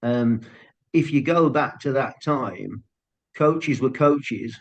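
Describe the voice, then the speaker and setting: Talking very slowly with a strong Brummie accent, a man uses a fairly high pitch and ordinary pitch variation. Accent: thick Brummie. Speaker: football scout and coach. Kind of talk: podcast interview. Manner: halting starts.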